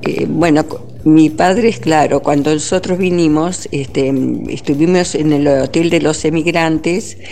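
A woman's very deep, low voice at a very slow pace, with very even loudness, ordinary pitch variation and noticeable background noise. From Argentina. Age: 70s. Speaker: immigrant interviewee. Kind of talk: interview. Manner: halting.

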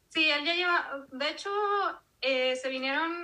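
A woman speaks in a raised, projected voice at a high pitch and a moderate pace. Her pitch varies in an ordinary way over noticeable background noise. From Mexico, Monterrey. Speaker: podcast host guest. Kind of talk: interview testimony.

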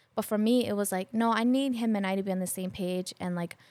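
Against a silent background in a very clean recording, a woman talks very fast at medium pitch. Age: 30s. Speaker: podcast guest sharing relationship advice. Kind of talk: casual chat.

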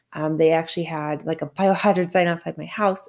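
A woman with a very deep, low voice and vocal fry talks at a very fast pace. Her intonation stays fairly even. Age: 30s. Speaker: podcast host and math teacher. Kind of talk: solo podcast monologue. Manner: casual, conversational with fillers.

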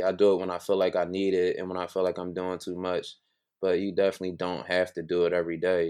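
Very fast speech comes from a man with a Philadelphia accent and a very deep, low pitch. The background is quiet. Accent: Philadelphia American. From Philadelphia, US. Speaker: entrepreneur. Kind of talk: interview.

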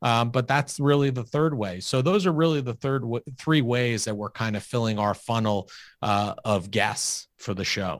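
Captured on a very clean recording with a silent background, a man with an ordinary speaking voice and an American accent talks at a medium pitch, with ordinary pitch variation and hardly any pauses. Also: moderate pace. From US Northeast, Long Island, New York. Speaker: financial advisor and podcast host. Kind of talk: interview conversation.

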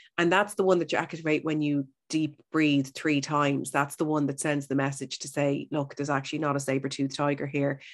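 A woman with a Dublin accent and a very deep, low voice, fairly quick and with hardly any pauses, in a monotone, flat intonation against a quiet background. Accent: Dublin Irish. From Ireland, Howth (Dublin). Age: 40s. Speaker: radio broadcaster, health and wellness presenter. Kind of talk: casual interview chat.

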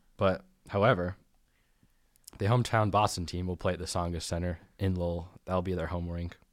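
On a very clean recording with a silent background, a man with a very deep, low pitch talks at a fairly quick pace, with fairly even intonation and long, frequent pauses. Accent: American. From United States. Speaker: college hockey podcast co-host. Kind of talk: casual chat.

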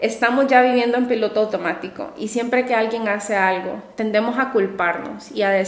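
Pitch variation is ordinary. The pace is moderate. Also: woman. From Honduras, coastal city. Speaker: psychologist and podcast host. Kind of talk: solo podcast monologue. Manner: warm, enthusiastic.

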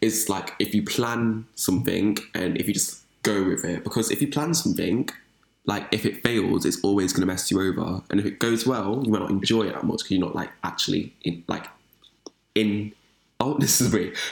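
A man's fairly low voice with an English accent at a moderate pace and ordinary pitch variation. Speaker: podcast host. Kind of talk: casual chat.

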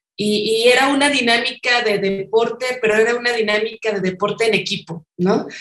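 A woman talks at a moderate pace with hardly any pauses, her fairly high pitch held to fairly even intonation. Her loudness stays very even. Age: 40s. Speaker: obstacle racing athlete and graphic designer. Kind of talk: interview.

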